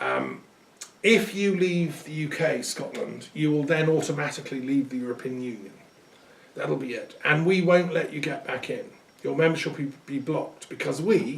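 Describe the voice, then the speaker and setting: A man's voice with an English accent and lively intonation. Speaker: lecturer on culture and metaphysics. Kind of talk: recorded talk. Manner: conversational with hesitations.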